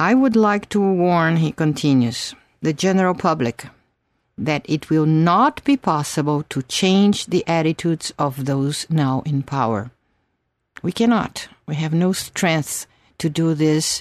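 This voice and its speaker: Lively intonation and a Brazilian accent mark this fairly slow speech, recorded with a dry, close sound, no echo and a quiet background. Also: woman, fairly low pitch for a woman. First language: Portuguese. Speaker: doctor and teacher of an analytical school. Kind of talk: interview.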